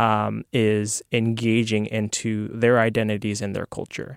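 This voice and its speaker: The speaker uses a normal speaking voice with an American accent, at a fairly slow pace. The sound is dry and close with no echo, and the intonation is fairly even. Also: man, very clean recording, silent background. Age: 20s. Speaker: former monk, food bank worker. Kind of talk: casual chat. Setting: studio.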